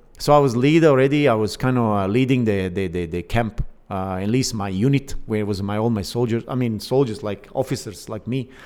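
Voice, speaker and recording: With a Bosnian accent, a man talks at a fairly quick pace with hardly any pauses. His pitch is medium and varies in an ordinary way. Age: 50s. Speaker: Olympic canoeist and fitness coach. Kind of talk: casual interview. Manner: halting, many fillers.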